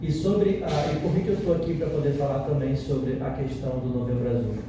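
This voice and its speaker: A man's fairly high voice at a moderate pace, amid audible room echo and noticeable background noise. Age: 40s. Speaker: psychoanalyst and family therapist. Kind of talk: talk at a health discussion circle. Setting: community centre discussion group. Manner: halting, with many fillers and repetitions.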